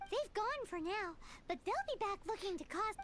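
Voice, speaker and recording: An extremely high-pitched, put-on character voice is heard. Clear background noise sits behind it. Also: moderate pace. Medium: video game.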